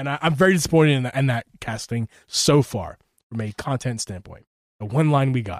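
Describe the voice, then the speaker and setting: A man with a Philadelphia accent speaks with ordinary pitch variation. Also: medium pitch for a man, fairly quick pace. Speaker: gaming podcast host. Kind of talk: casual chat. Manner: animated.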